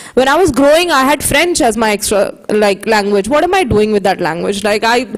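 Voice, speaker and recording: With lively intonation and a high pitch, a woman speaks while noticeable background noise plays behind her. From India. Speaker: social entrepreneur, sign language advocate. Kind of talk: conference panel talk.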